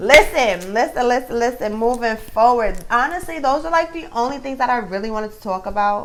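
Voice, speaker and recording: Fairly quick and lively in intonation, a woman talks in a fairly high pitch with a New York accent. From Brooklyn, New York. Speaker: commentary vlogger. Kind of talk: casual vlog commentary.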